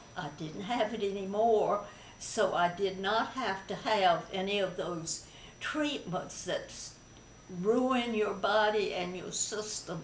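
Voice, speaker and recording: At a very slow pace, a woman talks over light background noise with audible room echo. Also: ordinary pitch variation. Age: 80s+. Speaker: breast cancer survivor. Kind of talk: interview answer. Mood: calm, positive, reflective. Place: home room. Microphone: camera far.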